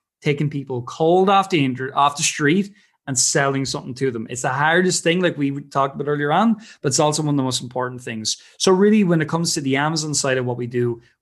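Against a quiet background, a man with an Irish accent talks at a very fast pace, his fairly high pitch showing ordinary variation. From Ireland. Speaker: business founder. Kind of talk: casual interview chat.

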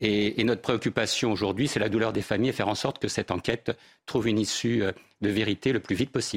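A man's very fast speech, dry and close with no echo, in a very clean recording with a silent background. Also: fairly low pitch for a man. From eastern Paris. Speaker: insurer and entrepreneur. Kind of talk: televised debate.

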